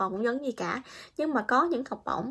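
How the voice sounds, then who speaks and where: A woman's high voice at a fairly quick pace, with lively intonation. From Vietnam. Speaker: vlogger, international student in Japan; vlogger. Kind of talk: casual vlog monologue. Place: home room. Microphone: phone near.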